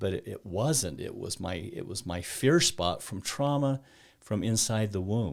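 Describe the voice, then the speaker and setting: A man speaks at a fairly slow pace in an unremarkable speaking voice, with fairly low pitch and lively intonation. The recording is very clean, with a silent background. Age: 60s. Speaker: mental health coach. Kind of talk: casual interview conversation.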